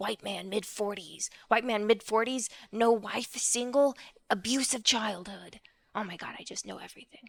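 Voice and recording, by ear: A woman uses a put-on character voice. It sounds raspy.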